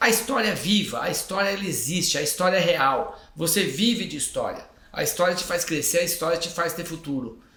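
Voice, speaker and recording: Talking at a fairly quick clip with hardly any pauses, a man with a high voice and ordinary pitch variation comes through noticeable background noise and audible room echo. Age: 60s. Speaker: tourism company executive. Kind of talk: podcast interview.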